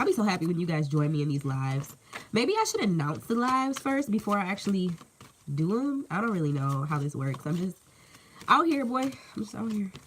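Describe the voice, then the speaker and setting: Over noticeable background noise, a woman with a medium pitch speaks at a fairly quick pace in an animated tone, her pitch swinging very widely. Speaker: tarot reader. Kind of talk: live tarot reading. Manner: casual, animated.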